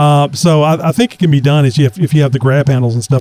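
Very fast speech in a dark, mellow tone, with ordinary pitch variation and a dry, close sound with no echo. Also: man. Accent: Texan. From Texas. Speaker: podcast host. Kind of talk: casual chat.

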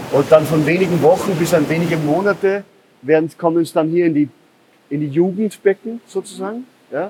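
A man talks at a fairly quick pace in a high voice with ordinary pitch variation. Noticeable background noise runs underneath. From Upper Austria. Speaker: aquaponics farm owner. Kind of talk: interview on a farm tour. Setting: on site in a greenhouse. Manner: halting, many fillers.

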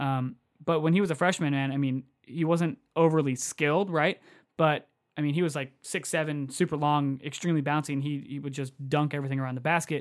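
In a very clean recording with a silent background, a man with an unremarkable speaking voice talks at a fairly quick pace, his pitch fairly high. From Southern California. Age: 30s. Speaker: basketball podcast co-host. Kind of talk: casual chat.

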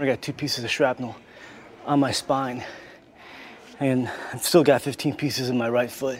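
A man speaks in a monotone, flat intonation with long, frequent pauses. Noticeable background noise runs underneath. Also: medium pitch for a man, moderate pace. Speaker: military officer. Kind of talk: testimony.

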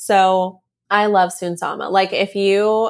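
A woman's medium-pitched voice in a very clean recording with a silent background. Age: 20s. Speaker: podcast host and content creator. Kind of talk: solo Q&A monologue. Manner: animated.

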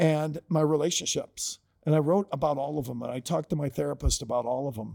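With an American accent and a dark, mellow tone, a man speaks at a fairly quick pace on a very clean recording with a silent background. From Ohio, US Midwest. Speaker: author and leadership coach. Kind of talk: casual chat.

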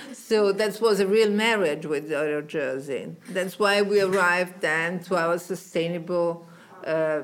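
A woman with an Italian accent at a medium pitch, fairly slow pace and fairly even intonation. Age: old. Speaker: fashion designer. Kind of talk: interview. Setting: designer's showroom.

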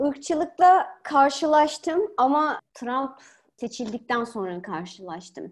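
In a very clean recording with a silent background, a woman speaks very slowly in a high voice with very wide pitch swings. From Turkey. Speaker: political science academic. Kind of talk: podcast interview.

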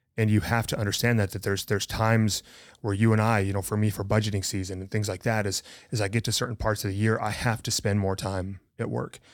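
A man with an American accent talks very fast in a fairly low voice and a flat monotone, recorded very cleanly against total silence. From rural north-central Montana. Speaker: podcast co-host. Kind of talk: casual chat.

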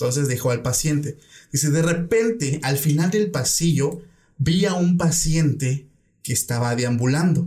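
A man with a fairly high pitch and a dark, mellow tone speaks at a fairly slow pace, somewhat breathy, with ordinary pitch variation and very even loudness. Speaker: podcast host. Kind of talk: casual chat, interview.

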